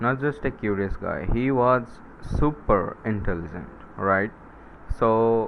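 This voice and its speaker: A man with a non-native accent speaks at a very slow pace and a medium pitch, his ordinary pitch variation broken up by long, frequent pauses. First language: not English. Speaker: science YouTuber. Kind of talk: casual explainer monologue. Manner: halting, many fillers and self-corrections.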